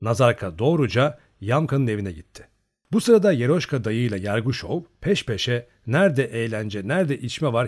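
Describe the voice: Against quiet surroundings, plain reading aloud with lively intonation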